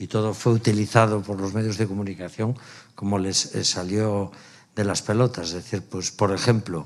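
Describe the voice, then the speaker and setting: A man's fairly low voice at a moderate pace, monotone and flat. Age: 60s. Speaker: stage actor. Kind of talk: post-show talkback. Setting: theatre with audience.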